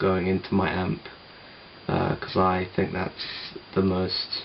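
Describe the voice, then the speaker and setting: A man speaks. There is noticeable background noise. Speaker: musician. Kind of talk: tutorial. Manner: casual, hesitant with fillers.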